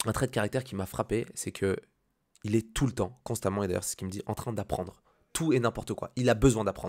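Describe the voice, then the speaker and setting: Speaking fairly quickly, a man lets his pitch vary in an ordinary way. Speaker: business and motivation YouTuber. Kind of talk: casual freestyle vlog monologue. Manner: fast; hesitant, many fillers.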